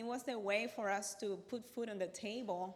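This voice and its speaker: The speaker has a Cuban accent and a moderate pace. Pitch variation is ordinary. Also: woman. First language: Spanish. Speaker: accountant and business workshop speaker. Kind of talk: workshop talk.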